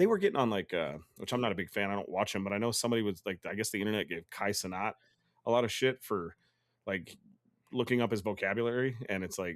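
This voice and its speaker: A man with a fairly low voice talks at a very fast pace. His tone is animated and his pitch varies in an ordinary way. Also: very clean recording, silent background. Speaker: gaming podcast co-host. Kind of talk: casual chat.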